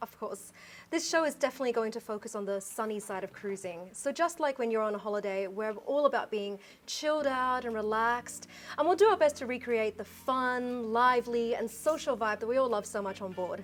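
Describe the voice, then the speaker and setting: A woman speaks with an Australian accent at a fairly quick pace. Her pitch is fairly high, with ordinary pitch variation. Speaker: cruise show host. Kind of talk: casual chat.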